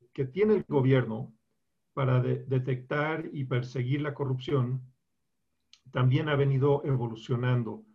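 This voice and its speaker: A man speaks at a very slow pace in a somewhat breathy voice. His pitch varies an ordinary amount. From Colombia. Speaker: lawyer. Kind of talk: interview. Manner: halting.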